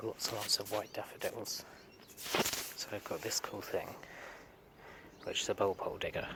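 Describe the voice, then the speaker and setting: With a British accent, a man talks at a moderate speed. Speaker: gardening vlogger. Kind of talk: casual garden vlog. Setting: outdoors in garden.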